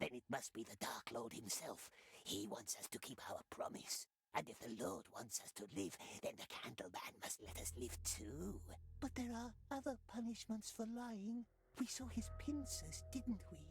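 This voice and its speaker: In a put-on character voice, the speaker sounds whiny at a low-to-middle pitch and a moderate pace. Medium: video game. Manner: whining, talks of himself as "we".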